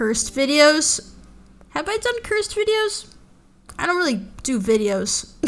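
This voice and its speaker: A woman's high voice with very wide pitch swings, at a fairly slow pace broken by long, frequent pauses, music in the background. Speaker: VTuber streamer. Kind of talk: casual livestream commentary. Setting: live stream. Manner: animated.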